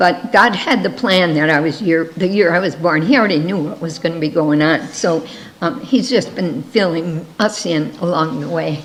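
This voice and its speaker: A woman's fairly low voice, moderate in pace with hardly any pauses and lively intonation, amid noticeable background noise and audible room echo. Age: 70s. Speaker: missionary. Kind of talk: missionary presentation.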